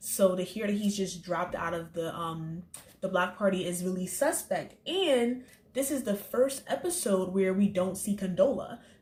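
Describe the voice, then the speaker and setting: A woman speaks at a moderate pace in a somewhat breathy voice of medium pitch, with ordinary pitch variation. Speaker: TV episode reviewer. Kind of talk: casual review vlog.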